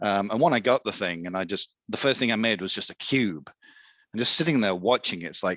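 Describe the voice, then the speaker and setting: A man with an English accent at a very fast pace, lively intonation, and a dry, close sound with no echo against a quiet background. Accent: English accent, noticeable. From England. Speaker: Etsy seller, 3D printing hobbyist. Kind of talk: casual interview.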